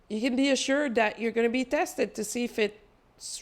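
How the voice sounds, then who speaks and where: Lively intonation marks this woman's high-pitched voice as she speaks at a moderate pace with a non-native accent. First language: not English. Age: 40s. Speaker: spiritual channeler. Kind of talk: spiritual energy update monologue. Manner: casual, conversational with fillers.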